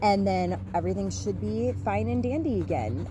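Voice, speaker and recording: A woman speaks at a fairly slow pace, and the room echo is audible. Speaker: astrology vlogger. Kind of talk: casual astrology forecast vlog. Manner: slow, halting with fillers.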